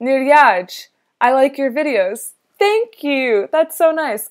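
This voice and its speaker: A woman speaks with a Canadian accent. Her intonation is lively. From Canada. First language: Russian. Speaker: engineering student youtuber. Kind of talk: live stream Q&A. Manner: casual, filler-heavy.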